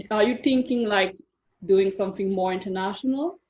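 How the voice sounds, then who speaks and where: A woman with a medium pitch speaks with a non-native accent. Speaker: life coach. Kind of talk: coaching session interview.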